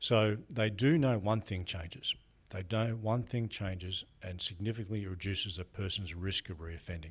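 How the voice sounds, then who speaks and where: With an Australian accent, a man speaks at a fairly low pitch in a somewhat breathy voice and fairly even intonation, in a very clean recording with a silent background. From Australia, rural New South Wales. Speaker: prison general manager. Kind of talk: interview.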